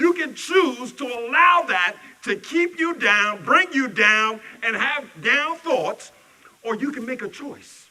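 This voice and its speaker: A man speaks in an extremely high pitch, his voice raised and projected. His intonation is lively and his pace fairly slow. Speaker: minister. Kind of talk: sermon. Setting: church service. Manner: loud.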